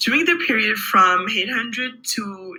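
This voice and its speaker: Speech in a non-native accent comes at a fairly slow pace. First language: not English. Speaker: student presenter. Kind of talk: class presentation. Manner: halting.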